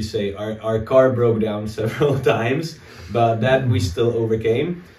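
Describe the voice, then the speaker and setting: A man at a fairly slow pace, with fairly even intonation and audible room echo. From Czech Republic. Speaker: political analyst. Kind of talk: interview. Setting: abandoned house in war zone. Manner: halting. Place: home room.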